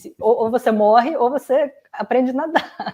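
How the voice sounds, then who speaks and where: A woman talks at a fairly slow pace. Her tone is dark and mellow. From Russia. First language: Russian (speaking Portuguese). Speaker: youtuber. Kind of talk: interview. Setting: live stream.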